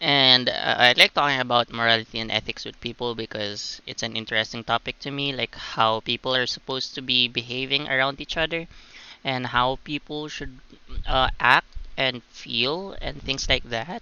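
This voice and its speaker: This man speaks at a moderate pace. His intonation stays fairly even. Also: medium pitch for a man. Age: 20s. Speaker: gaming streamer. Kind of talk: casual gameplay commentary. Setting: livestream. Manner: hesitant, many fillers.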